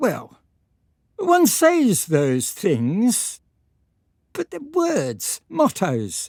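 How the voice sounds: Using a put-on character voice, a woman speaks at a very slow pace and medium pitch, her slightly mellow tone swinging very widely in pitch, with a dry, close sound with no echo on a very clean recording over a silent background.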